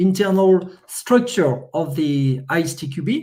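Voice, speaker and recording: Here a man speaks with a French accent and a high pitch. His tone is dark and mellow. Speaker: software testing expert. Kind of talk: conference presentation. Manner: halting.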